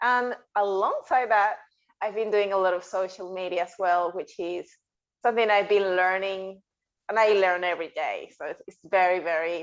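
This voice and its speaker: This woman has a medium-pitched voice and fairly even intonation, talking at a moderate pace. The background is quiet. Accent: Spanish. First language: Spanish. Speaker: dietitian. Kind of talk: podcast interview.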